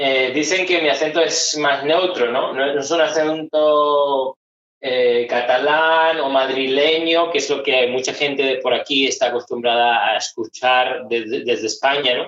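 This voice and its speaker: A man talks at a fairly slow pace with hardly any pauses. His pitch is fairly high and his intonation fairly even. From Spain, Málaga (Andalusia). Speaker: psychologist. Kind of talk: interview conversation.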